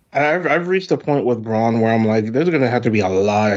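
This man speaks with an American accent at a medium pitch, his intonation lively. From US South, South Carolina. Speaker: podcast co-host. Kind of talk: casual chat. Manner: animated.

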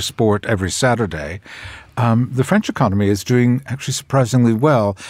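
This is a man speaking at a medium pitch. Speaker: journalist and broadcaster. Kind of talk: panel discussion. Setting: studio. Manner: halting.

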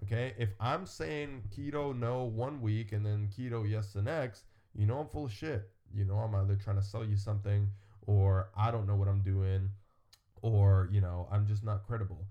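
This man's voice is fairly low in pitch and somewhat breathy, with a dark, mellow tone, ordinary pitch variation and a moderate pace. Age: 20s. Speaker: fitness podcast host. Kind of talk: casual chat.

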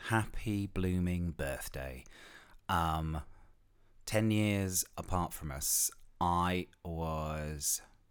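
Recorded very cleanly against a silent background, a man speaks with an English accent. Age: 50s. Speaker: podcast host. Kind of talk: solo podcast monologue. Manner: casual, chatty with many fillers.

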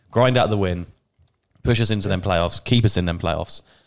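A man talks with an English accent and fairly even intonation. The recording is very clean, with a silent background. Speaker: football podcast host. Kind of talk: casual chat.

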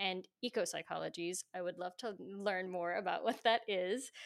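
A woman with a New Jersey accent talks at a fairly quick pace with ordinary pitch variation. The recording is very clean, with a silent background. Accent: American (New Jersey). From New Jersey suburbs. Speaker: podcast co-host. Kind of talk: casual interview.

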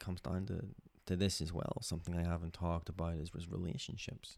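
A man speaks with a very deep, low pitch in a dark, mellow tone. He goes at a very fast pace with fairly even intonation. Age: 20s. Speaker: podcast host and PhD researcher in nuclear fusion. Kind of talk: personal monologue. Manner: halting, many fillers.

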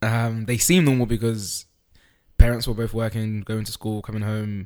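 A man's medium-pitched voice in a London accent, with fairly even intonation. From East London, England (moved from Holland at four). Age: young. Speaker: podcast guest sharing life story. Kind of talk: casual interview. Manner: halting, hesitant.

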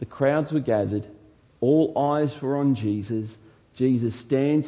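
Unforced reading voice, pitch varying in an ordinary way

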